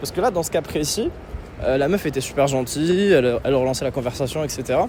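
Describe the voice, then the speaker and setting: Very fast delivery from a man pitched fairly high, ordinary pitch variation, noticeable background noise. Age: 20s. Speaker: dating coach. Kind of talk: vlog commentary. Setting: outdoors, street.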